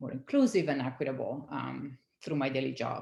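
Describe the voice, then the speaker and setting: A woman with an Italian accent, at a moderate pace and with ordinary pitch variation. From Italy. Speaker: science community manager. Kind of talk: interview.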